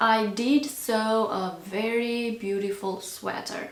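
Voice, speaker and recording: A woman speaks at a fairly high pitch with a non-native accent. Noticeable background noise and audible room echo are present. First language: not English. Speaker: crochet content creator. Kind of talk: casual chat. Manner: hesitant, with fillers.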